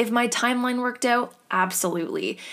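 With an animated tone, a woman talks using ordinary pitch variation. Her recording is very clean against a silent background. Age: 20s. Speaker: solo podcast host. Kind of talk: casual solo chat.

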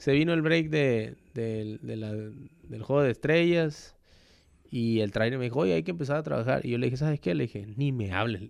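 A man at medium pitch with a plain, everyday voice, lively intonation and a moderate pace. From Mexico, Villahermosa, Tabasco. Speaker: professional baseball player. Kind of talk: casual interview.

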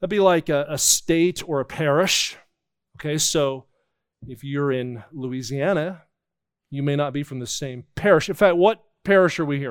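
In a very clean recording with a silent background, a man with an American accent speaks at a moderate pace and a fairly high pitch, using ordinary pitch variation and long, frequent pauses. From New Jersey, near Philadelphia. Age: 50s. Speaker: traveling evangelist. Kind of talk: sermon. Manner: animated.

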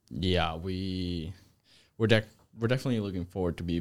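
Very clean recording with a silent background: a man with a fairly low voice at a fairly quick pace. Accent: Spanish. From Spain, Zaragoza. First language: Spanish. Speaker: college tennis player. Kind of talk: interview.

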